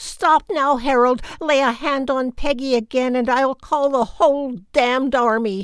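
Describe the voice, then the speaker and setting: Someone shouts at a moderate pace on a very clean recording with a silent background. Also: woman, high pitch for a woman. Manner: screaming, angry.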